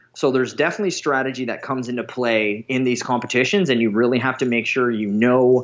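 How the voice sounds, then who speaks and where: A man's medium-pitched voice, very fast, with ordinary pitch variation. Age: 30s. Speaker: strongman athlete. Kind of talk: interview.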